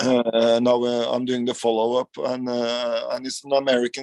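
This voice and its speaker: A man with a Norwegian accent talks at a fairly slow pace in a medium pitch, his voice dry and close with no echo. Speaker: rock guitarist. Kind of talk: interview. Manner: halting.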